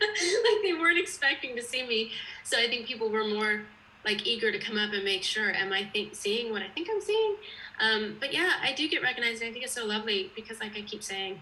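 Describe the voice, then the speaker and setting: Fairly high and lively in intonation, a woman's voice moves at a fairly quick pace. Noticeable background noise runs underneath. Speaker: actress. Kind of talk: casual interview.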